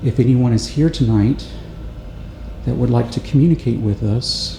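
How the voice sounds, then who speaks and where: A soft-spoken man at a moderate pace, with noticeable background noise. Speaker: paranormal investigator. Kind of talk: explanatory commentary during investigation. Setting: inside old jail, echoey metal cell block. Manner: hesitant with fillers.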